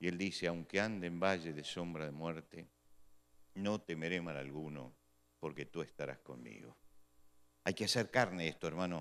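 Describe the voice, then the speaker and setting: With a very deep, low pitch and lively intonation, a man speaks at a fairly quick pace. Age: 60s. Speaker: pastor. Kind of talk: sermon.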